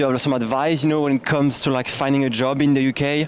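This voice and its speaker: The man talks in a French accent at a medium pitch. His intonation is monotone and flat, with noticeable background noise. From France. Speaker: YouTuber interviewer. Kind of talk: vlog intro to camera; casual interview.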